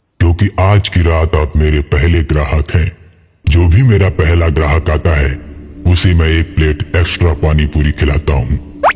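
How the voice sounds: In a cartoonish character voice, a man speaks at a moderate pace with a very deep, low pitch and a menacing tone.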